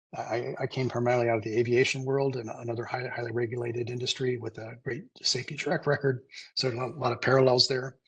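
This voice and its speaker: A man's somewhat breathy, flat monotone at a very fast pace. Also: medium pitch for a man. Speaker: CEO presenting on mobile nuclear technology. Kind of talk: webinar presentation; Q&A answer. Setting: webinar. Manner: halting, many fillers.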